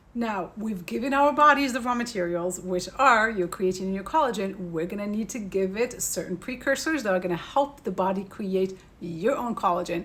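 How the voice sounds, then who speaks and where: A woman at medium pitch, lively in intonation with hardly any pauses, over noticeable background noise. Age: 40s. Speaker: beauty and wellness educator. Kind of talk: tutorial. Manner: fast.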